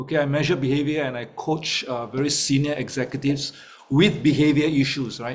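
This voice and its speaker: Noticeable background noise sits under this recording. A man with a fairly high voice speaks at a fairly quick pace. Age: 50s. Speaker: network marketing leader and executive coach. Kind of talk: guest talk in online meeting. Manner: hesitant, many fillers.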